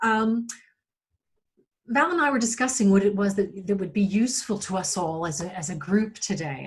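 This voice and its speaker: A woman with an American accent speaks at a medium pitch and a fairly quick pace. Her intonation is lively. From United States. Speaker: digital marketing agency owner, workshop presenter. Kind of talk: webinar presentation. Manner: fast-paced.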